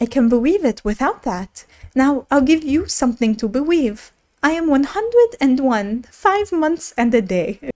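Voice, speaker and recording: Using a put-on character voice, a woman speaks at a moderate pace in a high, squeaky pitch. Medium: read story. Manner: fretful, excitable.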